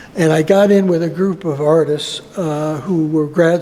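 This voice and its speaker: The speaker has an American accent, a moderate pace and fairly even intonation. Noticeable background noise runs under the voice. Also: man. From US Northeast (Buffalo, New York). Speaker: visual artist. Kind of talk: interview. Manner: halting, many fillers.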